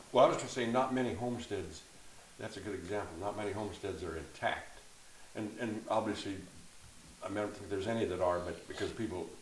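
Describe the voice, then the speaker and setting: Over noticeable background noise and audible room echo, a man with a fairly low pitch and an American accent speaks very fast with ordinary pitch variation. He leaves long, frequent pauses. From Oregon, Canby area. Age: 70s. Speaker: descendant of local pioneers. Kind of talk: casual chat. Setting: at a farmhouse home.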